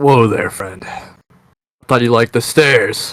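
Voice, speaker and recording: A man's raspy, put-on character voice, medium in pitch, at a fairly slow pace. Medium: actual play. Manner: swaggering, casual.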